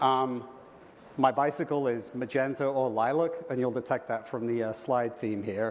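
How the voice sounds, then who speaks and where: The delivery has fairly even intonation and a moderate pace. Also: man, medium pitch for a man. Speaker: engineering program manager. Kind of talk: conference talk. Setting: stage with audience. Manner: casual, filler-heavy with repetitions.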